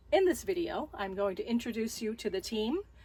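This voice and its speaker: Somewhat breathy and fairly high in pitch, a woman speaks with lively intonation. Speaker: camping vlogger. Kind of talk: scripted video intro.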